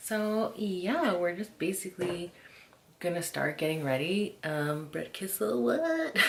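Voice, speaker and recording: Noticeable background noise is present. A woman whispers at a fairly slow pace. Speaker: lifestyle vlogger. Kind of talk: casual vlog chat. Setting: home beauty room. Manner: whispering.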